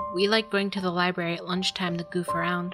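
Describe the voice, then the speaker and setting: Backed by music, a woman speaks at a medium pitch. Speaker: creepypasta narrator. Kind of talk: horror story narration. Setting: home microphone recording.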